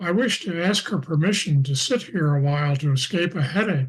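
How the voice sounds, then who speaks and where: A man's put-on character voice with lively intonation over a quiet background. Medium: stage play. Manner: jovial, hesitant.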